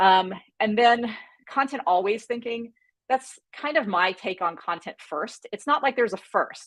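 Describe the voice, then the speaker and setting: A woman talks at a moderate pace. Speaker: content strategy director. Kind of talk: live webinar workshop.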